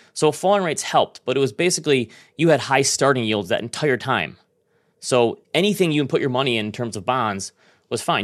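An ordinary speaking voice at a fairly quick pace with lively intonation, in a very clean recording with a silent background. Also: man. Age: 40s. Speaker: finance podcast host. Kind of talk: casual chat.

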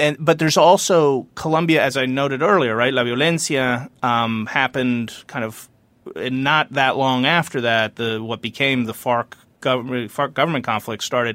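A man speaks in a normal speaking voice at a medium pitch and a fairly quick pace, with ordinary pitch variation, on a very clean recording with a silent background. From United States, Colombian family. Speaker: former foreign policy advisor. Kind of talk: interview.

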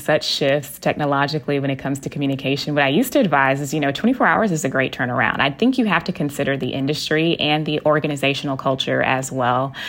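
With an American accent, a woman talks at a very fast pace with hardly any pauses, her very deep, low pitch moving in an ordinary way. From Texas. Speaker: etiquette coach. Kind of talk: interview.

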